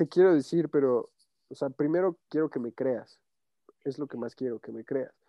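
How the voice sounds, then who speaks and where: Moderate pace and ordinary pitch variation from a man with a normal speaking voice, pitched fairly high. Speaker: podcast host. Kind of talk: casual chat.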